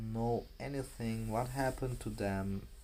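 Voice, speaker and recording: A man speaks at a fairly low pitch in a dark, mellow tone. Audible room echo surrounds his voice. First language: not English. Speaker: vlogger. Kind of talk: casual vlog monologue. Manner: halting, many fillers and restarts.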